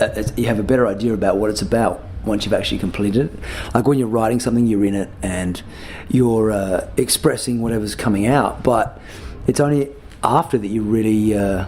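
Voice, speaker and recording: Speaking with an Australian accent, a man goes at a fairly quick pace with fairly low pitch and ordinary pitch variation, against noticeable background noise. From Australia, Adelaide. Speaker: musician. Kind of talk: interview. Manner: halting, many fillers and repeats.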